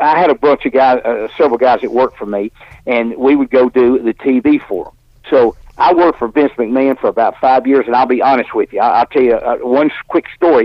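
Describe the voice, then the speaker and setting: A man with an Alabama accent, fairly quick in pace, medium in pitch, with ordinary pitch variation. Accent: Southern US (Alabama). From US South. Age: 70s. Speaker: professional wrestler. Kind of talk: interview. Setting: studio.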